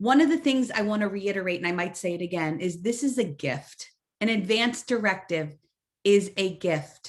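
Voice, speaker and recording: Using a normal speaking voice, the speaker talks at a moderate pace with lively intonation. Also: woman, medium pitch for a woman. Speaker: social worker and health educator. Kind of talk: webinar lecture.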